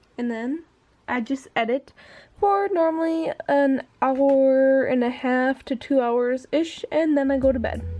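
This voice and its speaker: Her voice is high for a woman and dark and mellow in tone, with ordinary pitch variation. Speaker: vlogger. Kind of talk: casual vlog. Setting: in bed at night.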